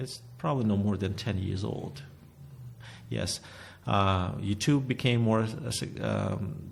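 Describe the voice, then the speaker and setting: A man's fairly low voice in a Russian accent, with vocal fry and lively intonation, at a very slow pace with long, frequent pauses, in audible room echo. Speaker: painter and art teacher. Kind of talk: interview. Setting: recording venue, arts studio. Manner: halting.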